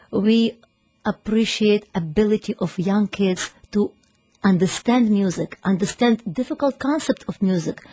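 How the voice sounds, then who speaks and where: In a Ukrainian accent, the speaker goes at a moderate pace with ordinary pitch variation and long, frequent pauses, the sound dry and close with no echo and music in the background. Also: woman, medium pitch for a woman. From Ukraine. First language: Ukrainian or Russian. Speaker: piano teacher and music school founder. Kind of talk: radio interview. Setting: radio studio.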